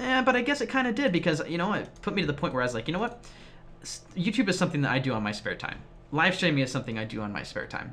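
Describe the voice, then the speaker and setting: A man talks at a very fast pace in a high voice with very wide swings in pitch, over noticeable background noise. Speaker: gaming YouTuber and streamer. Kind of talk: casual vlog talk to viewers.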